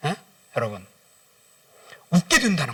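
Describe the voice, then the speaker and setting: A man speaks in a high pitch. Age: 60s. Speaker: guest pastor and businessman. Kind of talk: sermon. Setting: church service. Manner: animated.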